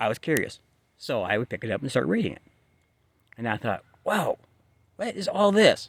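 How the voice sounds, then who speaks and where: Fairly quick in pace, this man's speech breaks up with long, frequent pauses. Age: 60s. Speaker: book vlogger. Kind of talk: casual monologue. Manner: halting, with fillers and restarts.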